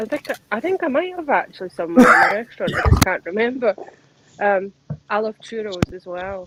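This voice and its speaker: Recorded with a dry, close sound with no echo but noticeable background noise, a woman speaks at a moderate pace and medium pitch. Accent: Central Belt Scottish. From Scotland, Central Belt. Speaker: live stream panel guest. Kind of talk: casual chat.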